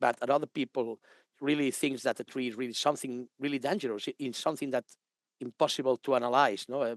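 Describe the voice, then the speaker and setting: A man speaks at a very fast pace and medium pitch with fairly even intonation, the sound dry and close with no echo and the background quiet. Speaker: arboriculture consultant. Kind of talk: lecture. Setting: live online webinar. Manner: halting.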